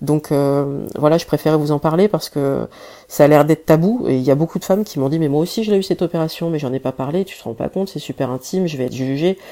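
Her voice very deep and low with a dark, mellow tone, a woman speaks at a very fast pace with ordinary pitch variation. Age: 30s. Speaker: social media personality sharing health story. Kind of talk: personal testimony and awareness message.

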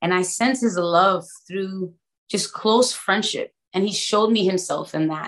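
A woman speaks with an American accent and ordinary pitch variation. She has an ordinary speaking voice. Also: medium pitch for a woman, fairly slow pace. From Brooklyn, New York. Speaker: worship leader and trainer. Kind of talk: testimony.

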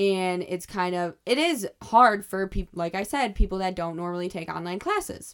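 Recorded very cleanly with a silent background, a woman speaks in a plain, everyday voice at medium pitch and a moderate pace, with ordinary pitch variation and hardly any pauses. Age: 20s. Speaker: podcast host and college student working as a restaurant server. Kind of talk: casual solo monologue.

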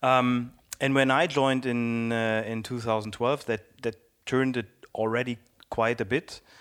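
A man of medium pitch speaks at a fairly slow pace with fairly even intonation, in a very clean recording with a silent background. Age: 40s. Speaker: platform engineering lead. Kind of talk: interview. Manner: hesitant with fillers.

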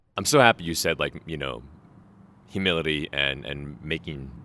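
Recorded very cleanly against a silent background, a man with an American accent speaks at a moderate pace in a very deep, low voice with a bright, sharp tone and vocal fry, taking long, frequent pauses. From Oregon. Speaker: guest podcast host and climber. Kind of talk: casual interview. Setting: converted warehouse training center.

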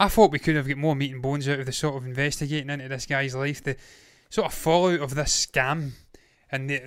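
The man talks at a fairly quick pace. His intonation is monotone and flat. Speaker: TV review host. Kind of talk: casual review chat. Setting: online show, late evening.

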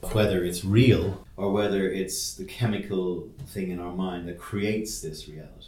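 Over noticeable background noise, a man with a fairly low voice talks at a moderate pace in a monotone, flat way, with big swings in loudness. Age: 40s. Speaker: podcast host. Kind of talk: casual chat. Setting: office.

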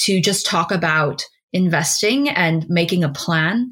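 A woman speaks at a fairly slow pace with a fairly low pitch. Her voice is somewhat breathy. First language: not English. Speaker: business development professional and podcast co-host. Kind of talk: casual chat.

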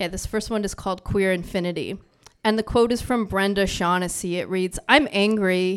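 Recorded very cleanly against a silent background, a woman speaks in a plain, everyday voice at a medium pitch. Her pace is moderate and her pitch variation ordinary. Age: 40s. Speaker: writer and poet. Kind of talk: poetry reading with chatty intro. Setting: stage with audience.

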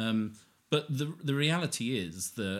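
This is a man speaking. He has a southern English accent. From Hertfordshire, southern England. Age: 40s. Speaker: recovering addict sharing his story. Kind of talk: casual interview conversation.

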